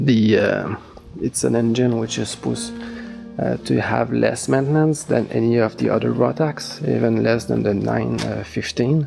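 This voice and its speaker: A man with a non-native accent talks at a fairly slow pace. Music plays in the background. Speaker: gyrocopter owner and pilot. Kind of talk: casual review talk to camera. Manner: hesitant, many fillers.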